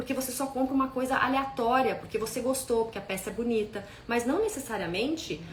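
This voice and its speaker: A woman speaks at a fairly quick pace in a high pitch, with noticeable background noise and audible room echo. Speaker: style consultant. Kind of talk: live stream talk. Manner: fast.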